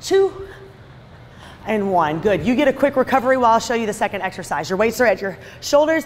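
A woman's fairly high, energetic voice at a very fast pace, with very wide pitch swings, long, frequent pauses and light background noise. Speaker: fitness instructor. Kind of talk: workout class instruction. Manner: energetic, encouraging. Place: gym.

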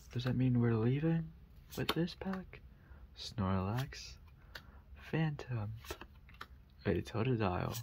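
Soft-spoken delivery at a very slow pace, long, frequent pauses, and noticeable background noise. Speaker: ASMR creator. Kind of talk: ASMR card pack opening. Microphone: studio mic.

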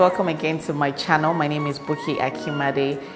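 With clear music playing behind her, a woman speaks at a very deep, low pitch. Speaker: cooking channel host. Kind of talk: tutorial. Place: kitchen.

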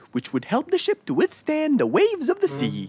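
Faint music plays in the background. Over it comes a cartoonish character voice with a warm tone. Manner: warm, helpful, patient.

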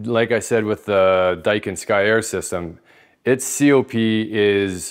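A man with a normal speaking voice and fairly even intonation against a quiet background. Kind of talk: explainer tutorial. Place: home room. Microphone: lapel.

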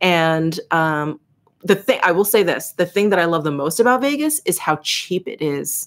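A woman with a fairly low pitch speaks at a moderate pace. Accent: American. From New York City. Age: 40s. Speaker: beauty YouTuber. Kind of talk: livestream Q&A chat. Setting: home livestream. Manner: casual, chatty. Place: home room.

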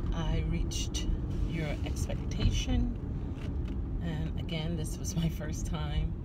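A woman talks at a very slow pace against loud background noise. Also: ordinary pitch variation. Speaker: vlogger. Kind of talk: casual vlog chat. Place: car. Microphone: phone near.

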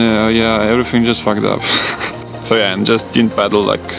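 A man speaks with fairly even intonation over clear background music, the sound dry and free of echo. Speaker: athlete vlogger. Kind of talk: casual vlog chat. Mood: weary, resigned storytelling. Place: garden. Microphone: phone near.

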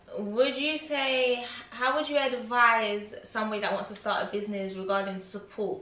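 There is audible room echo as the speaker talks at a moderate pace with ordinary pitch variation. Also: woman. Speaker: YouTuber interviewer. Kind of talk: casual interview. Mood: friendly, upbeat. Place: home room. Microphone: camera far.

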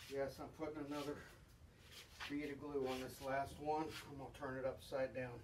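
Over noticeable background noise, a man with a fairly high pitch speaks at a moderate pace in a monotone, flat intonation. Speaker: hobbyist boat builder. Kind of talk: woodworking tutorial. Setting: workshop. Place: garage. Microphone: camera far.

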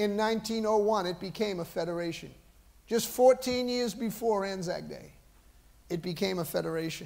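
A man with a Boston accent speaks at a moderate pace in a high voice, with ordinary pitch variation. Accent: Boston American. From US, Boston area. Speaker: pastor; preacher. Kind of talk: sermon. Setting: church. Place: church.

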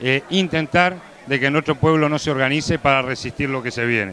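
At a moderate pace, a man speaks with ordinary pitch variation, in a dry sound with no echo and light background noise. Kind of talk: interview answer. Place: meeting room. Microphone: handheld.

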